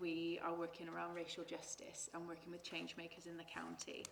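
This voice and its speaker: Someone with a Forest of Dean accent speaks at a moderate pace, with audible room echo. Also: woman. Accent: Forest of Dean, noticeable R's. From Forest of Dean, England. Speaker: foundation representative. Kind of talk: panel discussion.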